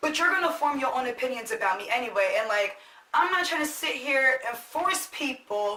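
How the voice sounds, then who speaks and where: A woman's high-pitched, raised, projected voice, bright and sharp in tone, with very wide pitch swings at a moderate pace. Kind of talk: casual talk to camera.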